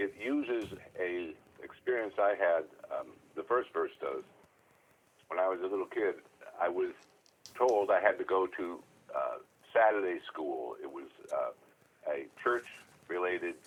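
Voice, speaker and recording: A man at a fairly slow pace with long, frequent pauses over noticeable background noise. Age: 70s. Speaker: songwriter and storyteller. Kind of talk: casual interview conversation. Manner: hesitant, with many fillers.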